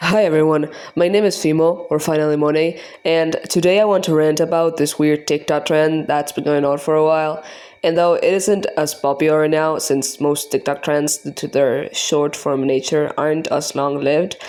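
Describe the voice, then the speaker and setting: Over a very clean recording with a silent background, a woman speaks with a non-native accent at a moderate pace. Her pitch is very deep and low, with fairly even intonation. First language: not English. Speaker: art youtuber. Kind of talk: scripted rant. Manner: halting.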